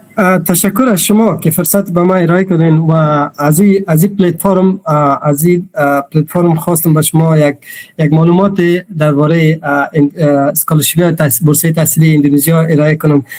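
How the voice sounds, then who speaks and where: In a Pashto accent, a man speaks at a fairly quick pace and fairly high pitch, with very even loudness and fairly even intonation. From Afghanistan, Pashto-speaking region. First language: Pashto (speaking Persian). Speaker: PhD student and scholarship speaker. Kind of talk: webinar presentation. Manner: halting, many fillers.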